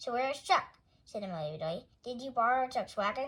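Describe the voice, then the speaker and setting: In a put-on character voice, a woman speaks very fast. Her high voice swings very widely in pitch. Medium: read story. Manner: earnest, literal.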